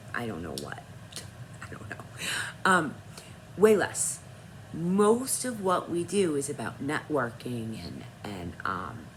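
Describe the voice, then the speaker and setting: A woman speaks at a very slow pace in a fairly low pitch, with audible room echo around her voice. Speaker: author and vlogger. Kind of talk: casual vlog talk.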